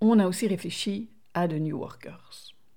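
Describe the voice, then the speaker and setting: A woman with a non-native accent speaks at a medium pitch with a dark, mellow tone and ordinary pitch variation, recorded very cleanly against a silent background. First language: not French (speaking French). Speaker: podcast co-host. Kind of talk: casual chat.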